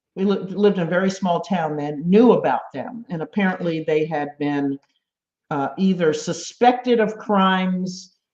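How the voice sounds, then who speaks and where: With ordinary pitch variation, the delivery keeps a moderate pace. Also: woman, medium pitch for a woman. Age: 60s. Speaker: spiritual storyteller sharing own story. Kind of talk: personal testimony. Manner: halting, with many fillers.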